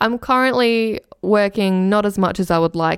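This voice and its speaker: Against a very clean recording with a silent background, a woman with an Australian accent speaks at a moderate pace with ordinary pitch variation. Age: 20s. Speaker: podcast host. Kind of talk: solo podcast reading survey responses. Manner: energetic radio delivery.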